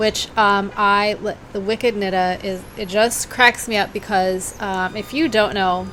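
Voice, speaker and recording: With noticeable background noise, a woman with an American accent speaks at medium pitch and a very slow pace. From US Midwest (Cincinnati), Boston-born family. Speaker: knitting podcast host. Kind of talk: casual chat. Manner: hesitant, halting; rambling, digressive.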